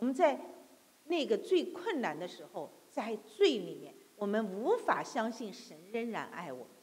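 Speaking at a fairly slow pace, a woman with a fairly high pitch and vocal fry makes very wide pitch swings and big swings in loudness. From mainland China. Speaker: preacher. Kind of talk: sermon. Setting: church. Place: church.

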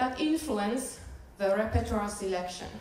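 Recorded with audible room echo, a woman speaks with a Finnish accent. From Finland. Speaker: doctoral researcher and church musician; presenter. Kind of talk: academic presentation. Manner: halting.

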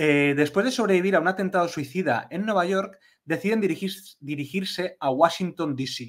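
The recording is very clean with a silent background. A man speaks in a high voice. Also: ordinary pitch variation, moderate pace. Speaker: podcast co-host. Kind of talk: casual chat.

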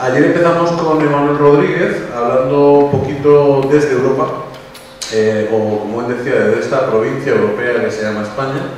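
Strong room echo and light background noise surround a man speaking at a moderate pace. His pitch varies in an ordinary way. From Spain. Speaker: event organizer and moderator. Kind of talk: event moderation. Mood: warm, lightly humorous. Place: hall.

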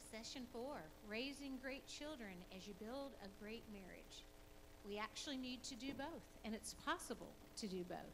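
A woman talks at a moderate pace with ordinary pitch variation. There is noticeable background noise. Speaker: marriage seminar teacher. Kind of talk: lecture. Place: church. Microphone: handheld.

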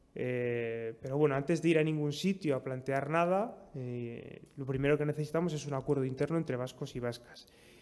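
A man with a medium pitch and slightly mellow tone talks at a moderate pace with few pauses. His pitch varies in an ordinary way.

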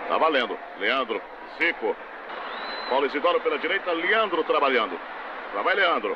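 A man talks in a high voice, leaving long, frequent pauses. There is noticeable background noise. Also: ordinary pitch variation. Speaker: radio sports commentator. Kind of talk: vintage live football commentary, archive match broadcast. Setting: stadium, broadcast over archive footage. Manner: rapid-fire, clipped play-by-play, reeling off player names; excitable on shots and chances, lively.

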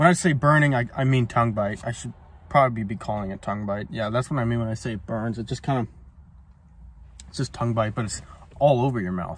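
A man talks at a very fast pace, somewhat breathy. The sound is dry with no echo. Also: ordinary pitch variation. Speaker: cigar reviewer. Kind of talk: casual vlog chat. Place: car. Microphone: phone near.

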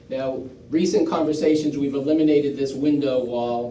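Fairly slow speech from a man with a fairly high voice, audible room echo around it. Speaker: school district official presenting to town board. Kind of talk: public presentation at town meeting. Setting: town board meeting.

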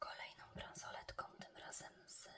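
Over noticeable background noise, a woman whispers very slowly. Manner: whispered, relaxing.

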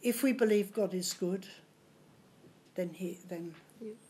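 A woman talks in an Australian accent at a fairly slow pace. Her intonation stays fairly even. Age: 80s+. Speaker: community volunteer and foundation founder. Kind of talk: interview answer. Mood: warm, reflective. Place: home room. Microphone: studio mic.

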